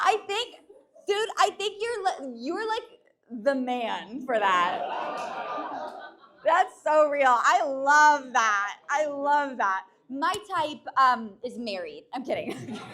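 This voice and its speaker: A woman speaks in a raised, projected voice at a high pitch. Her tone is animated, and her pitch swings very widely. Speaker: stand-up comedian. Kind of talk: stand-up. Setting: stage with audience. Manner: fast.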